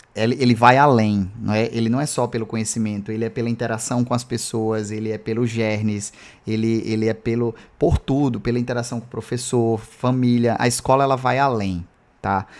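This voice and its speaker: Monotone, flat intonation from a man at medium pitch and a fairly quick pace. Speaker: math teacher. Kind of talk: live online lecture. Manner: fast; casual, filler-heavy.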